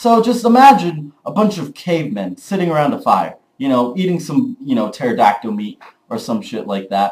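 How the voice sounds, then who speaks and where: A loud voice at a moderate pace. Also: man. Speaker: vlogger. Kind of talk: casual vlog monologue. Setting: early morning home recording. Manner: animated.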